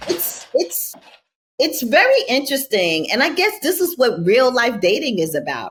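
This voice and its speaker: A woman with a New York accent, high-pitched with very wide pitch swings, at a moderate pace. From New York City (Brooklyn). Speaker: reality TV contestant. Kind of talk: podcast interview.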